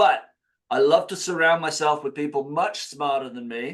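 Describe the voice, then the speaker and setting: Against a quiet background, a man speaks with a slight English accent. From England. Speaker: retirement education director. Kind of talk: webinar presentation. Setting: video call.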